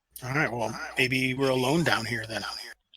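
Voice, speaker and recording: A man's put-on character voice, medium in pitch, fairly even in intonation, at a moderate pace. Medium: actual play.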